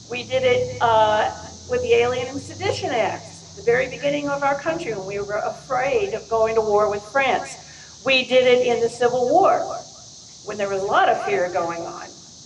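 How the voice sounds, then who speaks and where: Over noticeable background noise and audible room echo, a woman speaks at a moderate pace in a high pitch with very wide pitch swings. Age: 70s. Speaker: activist. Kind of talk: public comment speech. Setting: town hall meeting at fairgrounds. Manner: hesitant, with many fillers.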